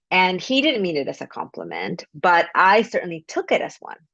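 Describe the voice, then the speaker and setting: A woman speaks in a Spanish accent at a fairly low pitch. The background is quiet. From Mexico. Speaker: author. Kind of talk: interview. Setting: video call.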